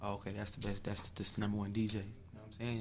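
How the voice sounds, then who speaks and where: Amid audible room echo, a man talks at a very fast pace. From Chicago area, Illinois (Bolingbrook). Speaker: R&B singer. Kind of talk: interview. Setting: radio studio.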